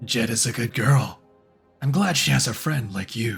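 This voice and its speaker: Over faint music in the background, a man uses a raspy put-on character voice of medium pitch with lively intonation. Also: moderate pace. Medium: fan dub. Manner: cryptic, playful.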